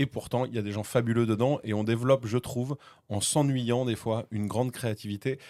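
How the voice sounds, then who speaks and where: Medium in pitch and dark, mellow in tone, a man talks at a fairly quick pace with monotone, flat intonation. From France, Vendée (Pouzauges). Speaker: radio host and comedian. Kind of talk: podcast interview. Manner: talkative.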